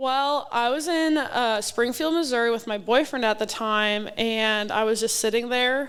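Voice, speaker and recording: A woman with an American accent, fairly high pitch and ordinary pitch variation, a normal speaking voice, on a very clean recording with a silent background. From Wisconsin. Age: 20s. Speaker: professional volleyball player. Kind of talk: casual interview. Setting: live at a sports bar.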